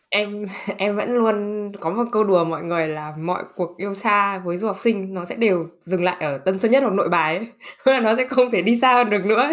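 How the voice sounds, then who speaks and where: A woman speaks at a medium pitch and a moderate pace. Her pitch varies in an ordinary way, with noticeable background noise. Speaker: podcast host. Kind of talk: casual interview chat. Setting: video call.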